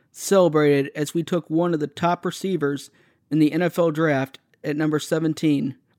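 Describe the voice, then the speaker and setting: A man speaks in a plain, everyday voice with an American accent, his pitch fairly high and his intonation fairly even. The pace is fairly quick, and the very clean recording has a silent background and a dry, close sound with no echo. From Texas, McKinney. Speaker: sports podcaster. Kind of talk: solo sports commentary podcast.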